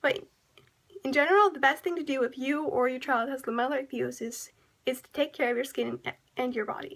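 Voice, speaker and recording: A woman talks at a fairly quick pace in a high pitch with ordinary pitch variation. Her loudness swings widely, and she leaves long, frequent pauses. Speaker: presenter. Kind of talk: educational PSA narration. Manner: stammering, with random pauses. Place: home room. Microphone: webcam.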